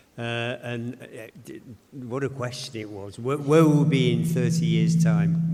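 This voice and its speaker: Noticeable background noise accompanies a man who talks fairly slowly. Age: 70s. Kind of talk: panel discussion.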